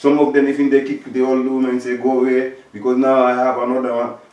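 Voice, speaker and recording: Against noticeable background noise, a man speaks at a moderate pace and medium pitch. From Africa. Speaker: talk show host. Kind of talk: discussion. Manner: halting, many repetitions.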